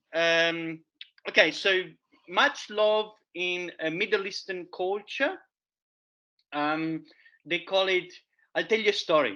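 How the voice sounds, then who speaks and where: A man's high, bright, sharp, raised and projected voice in an Italian accent, at a very slow pace with long, frequent pauses, over a quiet background. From Italy. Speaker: forager and educator. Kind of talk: public talk. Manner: animated; halting.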